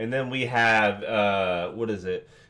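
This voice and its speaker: A man talks at a moderate pace with lively intonation. His tone is bright and sharp. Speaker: reaction video creator. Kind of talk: casual reaction commentary.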